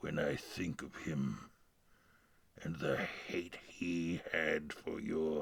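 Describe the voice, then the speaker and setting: A man performs a cartoonish character voice that is raspy and very deep and low in pitch. He speaks at a fairly slow pace. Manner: grandiose, patronizing.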